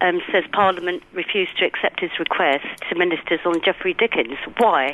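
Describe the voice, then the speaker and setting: A woman talks at a moderate pace in a London accent. Her loudness stays very even. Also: fairly low pitch for a woman, ordinary pitch variation. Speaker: caller. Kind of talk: radio phone-in. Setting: phone call. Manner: indignant, emphatic; hesitant, many fillers.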